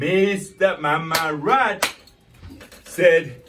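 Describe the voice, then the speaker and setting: The voice has vocal fry and very wide pitch swings. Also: man. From Sierra Leone. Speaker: storyteller. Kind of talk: folk tale told aloud.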